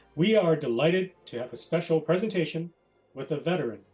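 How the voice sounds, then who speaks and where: Music plays in the background while the voice moves at a fairly quick pace. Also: man. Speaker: honorary division president. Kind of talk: scripted opening remarks.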